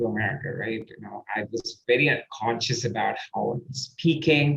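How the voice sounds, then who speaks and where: Here a man is speaking. He has an Indian accent. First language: Indian language. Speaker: podcast host and performance coach. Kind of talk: interview conversation. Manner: halting, searching for words.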